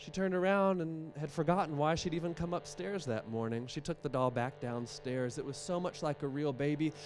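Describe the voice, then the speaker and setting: Music plays in the background. The speaker has an American accent and lively intonation. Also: man. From West Virginia, Appalachia. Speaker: storyteller. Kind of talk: live storytelling performance.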